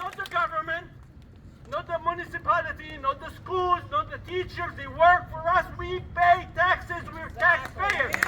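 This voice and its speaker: A man with an extremely high, raised, projected voice speaks at a fairly slow pace with big swings in loudness over noticeable background noise. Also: ordinary pitch variation. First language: not English. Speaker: rally speaker. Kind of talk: public speech.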